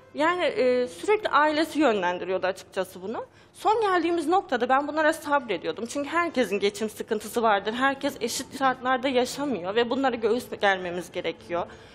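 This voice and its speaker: A woman's high voice at a fairly quick pace, hardly any pauses, faint music in the background. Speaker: talk show guest. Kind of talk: interview answer. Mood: sad, troubled. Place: studio. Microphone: headset.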